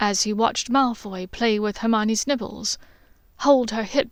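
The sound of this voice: An unforced reading voice carries the whole clip.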